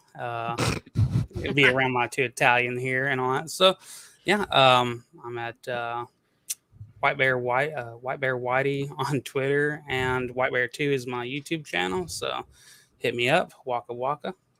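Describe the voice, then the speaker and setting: In a Southern US accent, a man with a medium pitch and a bright, sharp tone talks at a fairly slow pace with fairly even intonation, in a dry, close sound with no echo. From US South. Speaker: YouTube commentator. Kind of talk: casual livestream chat.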